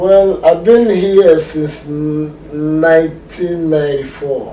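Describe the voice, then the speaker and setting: Over noticeable background noise, a man with a strong Nigerian accent speaks very slowly at a fairly high pitch with fairly even intonation. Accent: Nigerian, still strong. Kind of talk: casual chat.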